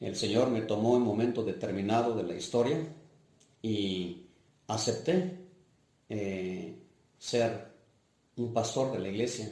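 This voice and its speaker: With audible room echo, a man speaks very slowly with long, frequent pauses, his somewhat breathy voice dark and mellow in tone, at a medium pitch with ordinary pitch variation. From Mixtec region of Oaxaca, Mexico. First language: Mixtec (speaking Spanish). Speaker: parish priest. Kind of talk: life-story interview testimony. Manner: hesitant, with fillers.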